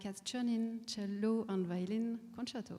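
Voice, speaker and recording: In a French accent, a woman speaks in a flat monotone with a dark, mellow tone. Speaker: conductor. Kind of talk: onstage interview. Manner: halting, many hesitations.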